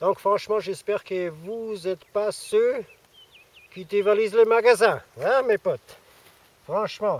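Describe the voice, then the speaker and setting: A man with an Austrian accent speaks very slowly in a high voice with fairly even intonation, big swings in loudness and long, frequent pauses, the sound dry and close with no echo. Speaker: survivalism youtuber. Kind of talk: casual vlog. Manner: hesitant, many fillers.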